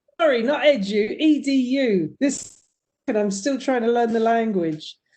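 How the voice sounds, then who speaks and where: A woman speaks with a British accent at a fairly slow pace, her pitch high. Her tone is dark and mellow, and her intonation is lively. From United Kingdom. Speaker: university faculty. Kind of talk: virtual meeting.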